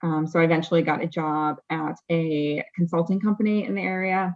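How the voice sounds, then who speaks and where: In an ordinary speaking voice with an American accent, a woman talks at a moderate pace and a fairly low pitch against a quiet background. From Massachusetts, later California. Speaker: regulatory compliance professional. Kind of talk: interview.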